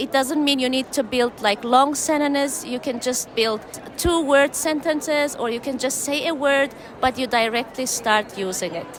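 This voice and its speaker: Against noticeable background noise, a woman talks at a moderate pace in a high pitch with ordinary pitch variation. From Turkmenistan. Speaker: English teacher. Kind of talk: conference interview.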